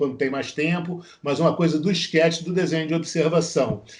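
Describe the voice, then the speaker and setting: A man speaks in a fairly high voice. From Brazil, Rio de Janeiro. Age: 60s. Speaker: visual artist, former journalist. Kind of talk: interview. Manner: halting, many fillers and repetitions.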